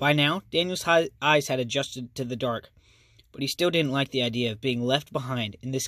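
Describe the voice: Ordinary pitch variation in plain reading aloud.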